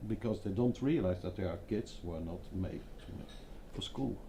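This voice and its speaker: A man talks with a dark, mellow tone at a fairly low pitch. His voice is somewhat breathy. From Belgium, Hasselt (Flanders). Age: 50s. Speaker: design agency founder. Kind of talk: panel discussion.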